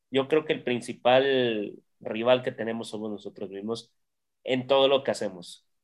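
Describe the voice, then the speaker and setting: A man speaks in a plain, everyday voice at a moderate pace. His pitch is medium and his intonation fairly even. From Mexico, Xalapa, Veracruz. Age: 30s. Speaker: basketball team press officer. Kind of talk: casual interview.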